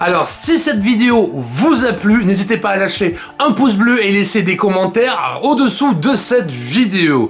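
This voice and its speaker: Over background music and audible room echo, a man speaks at a fairly slow pace with hardly any pauses, his high pitch swinging very widely while his loudness stays very even. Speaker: DIY video host. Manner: halting, many fillers.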